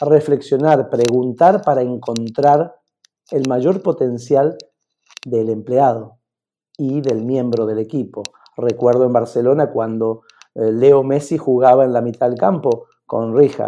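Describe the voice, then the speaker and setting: At a very slow pace, a man speaks with a dark, mellow tone, medium pitch and ordinary pitch variation. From Argentina. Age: 50s. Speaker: executive coach. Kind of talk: interview.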